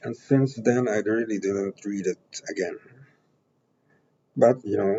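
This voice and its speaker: Long, frequent pauses break up a man's fairly slow speech. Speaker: academic researcher. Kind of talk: lecture. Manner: halting, many fillers.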